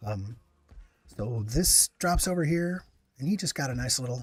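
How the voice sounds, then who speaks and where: A man speaks in a somewhat breathy voice. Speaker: gaming streamer. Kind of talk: live gameplay commentary. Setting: live stream. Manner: soft-spoken; halting.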